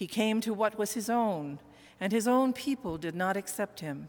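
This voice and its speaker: Here is a woman with an unremarkable speaking voice at a medium pitch. Her intonation is lively and her pace fairly slow. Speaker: minister. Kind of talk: sermon. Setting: church.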